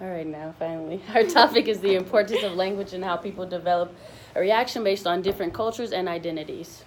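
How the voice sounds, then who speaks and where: A woman talks at a very fast pace with a Mississippi accent, her loudness swinging widely. There is noticeable background noise. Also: medium pitch for a woman, ordinary pitch variation. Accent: Mississippi Southern. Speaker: student. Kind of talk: class presentation.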